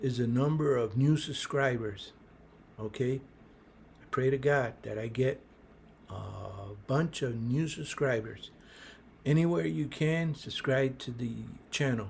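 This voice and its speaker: Somewhat breathy, a man speaks fairly slowly at a medium pitch with ordinary pitch variation, leaving long, frequent pauses. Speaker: small business advice youtuber. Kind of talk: casual advice monologue. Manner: halting, many fillers.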